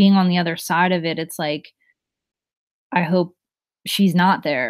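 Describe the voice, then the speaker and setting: Someone with a New Jersey accent is heard in a very clean recording over a silent background. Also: woman. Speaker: live streamer. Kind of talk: casual chat with live chat readers. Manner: loud.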